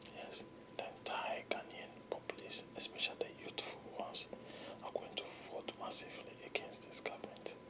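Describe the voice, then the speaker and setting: A whispered voice at a moderate pace, with a calm, soothing tone. Noticeable background noise sits behind it. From Ghana. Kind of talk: whispered ASMR political commentary. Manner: whispered, calm, soothing.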